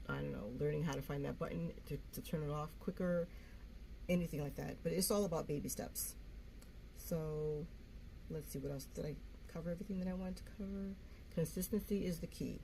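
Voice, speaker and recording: The speech comes with long, frequent pauses and audible room echo. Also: woman, fairly quick pace. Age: 60s. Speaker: YouTuber. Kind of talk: casual vlog talk. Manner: free-flowing, halting with fillers.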